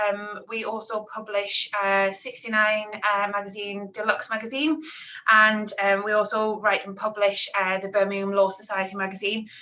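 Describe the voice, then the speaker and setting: This woman speaks in a Newcastle accent with a bright, sharp tone. Her intonation is monotone and flat, and her pace is moderate. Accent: Newcastle (Geordie). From northern England, Newcastle. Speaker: PR account manager. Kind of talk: online talk interview. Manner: hesitant, many fillers.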